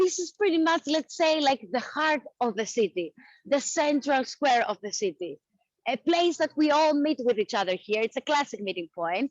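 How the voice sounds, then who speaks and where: A woman with a Greek accent, high-pitched, at a moderate pace, with very wide pitch swings and a dry, close sound with no echo. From Athens, Greece. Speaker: tour guide. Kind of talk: live virtual walking tour narration. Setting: outdoors.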